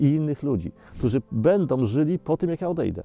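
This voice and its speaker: Backed by music, a man talks with lively intonation. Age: 60s. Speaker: environmental activist. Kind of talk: documentary interview answer.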